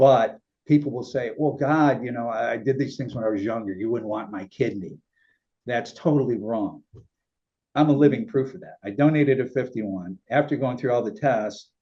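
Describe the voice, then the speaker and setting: A man speaks at a moderate pace with medium pitch and ordinary pitch variation. His is an unremarkable speaking voice, with big swings in loudness. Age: 60s. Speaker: talk show host and kidney donor. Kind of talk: interview.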